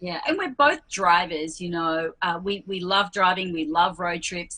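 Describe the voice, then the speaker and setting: A woman with an Australian accent speaks at a fairly slow pace and a fairly low pitch, with ordinary pitch variation. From Western Australia. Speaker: RV traveler. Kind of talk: casual interview.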